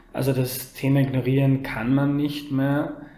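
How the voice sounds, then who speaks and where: A man speaks at a fairly slow pace in a fairly high pitch, his intonation monotone and flat, with audible room echo and noticeable background noise. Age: 30s. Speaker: journalist. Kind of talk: interview.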